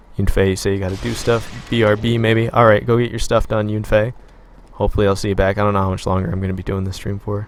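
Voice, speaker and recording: Quiet and fairly low-pitched, a man speaks very fast in a flat monotone. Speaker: gaming live streamer. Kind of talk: live stream chat while gaming. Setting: live stream. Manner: quiet, taking it easy on voice.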